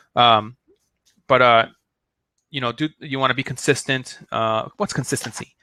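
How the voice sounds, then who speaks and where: An excited man speaks at a medium pitch in a bright, sharp tone with ordinary pitch variation, captured dry and close with no echo on a very clean recording with a silent background. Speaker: online marketing coach. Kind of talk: live-stream tutorial. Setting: live video stream. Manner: fast; excited, many fillers.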